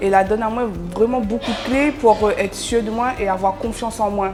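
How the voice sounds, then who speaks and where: A woman's fairly high voice at a moderate pace, fairly even in intonation, against noticeable background noise. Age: 20s. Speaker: trainee. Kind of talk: interview testimony. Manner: hesitant.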